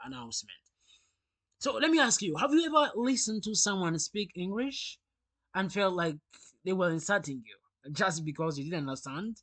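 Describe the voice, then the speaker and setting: This man speaks with a Rwandan accent at a high pitch. The background is quiet. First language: Kinyarwanda. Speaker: English teacher. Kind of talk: sales pitch.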